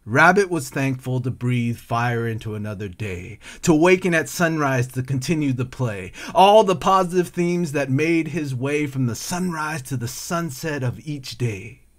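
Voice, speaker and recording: Here is a man with an American accent and a plain, everyday voice, pitched at a medium level. He talks at a moderate pace with lively intonation. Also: hardly any pauses. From California. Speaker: poet and artist. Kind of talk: spoken word poetry, rhythmic and rhyming, reflective and tender. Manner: flowing and lyrical, emotive, cadenced delivery.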